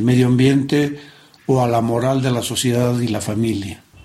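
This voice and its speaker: Fairly even intonation from a man with a dark, mellow tone at a medium pitch. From Bolivia, La Paz. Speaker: interviewee. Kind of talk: interview.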